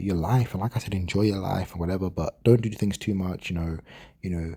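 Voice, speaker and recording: The speaker has a London accent and a very fast pace. The pitch varies in an ordinary way. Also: man. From London, England. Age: 20s. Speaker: gaming commentary vlogger. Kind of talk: casual monologue. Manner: hesitant, many fillers and repeats.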